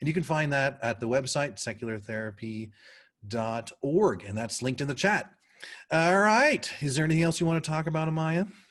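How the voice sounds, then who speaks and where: A man speaks at a fairly quick pace with a fairly high pitch and lively intonation. The background is quiet. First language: not English. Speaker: volunteer co-host of a support livestream. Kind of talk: casual online talk show chat.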